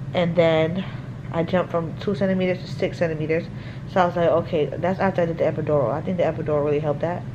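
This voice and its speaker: Over noticeable background noise, someone talks at a very fast pace with fairly even intonation. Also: woman. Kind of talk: casual vlog chat. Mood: relieved, recounting experience. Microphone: phone near.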